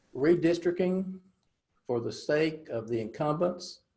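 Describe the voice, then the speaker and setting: A man speaks in a North Carolina accent at a moderate pace. His voice is somewhat breathy. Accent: Southern US (North Carolina). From North Carolina Piedmont. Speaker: political candidate. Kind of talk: interview. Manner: hesitant, many filler words.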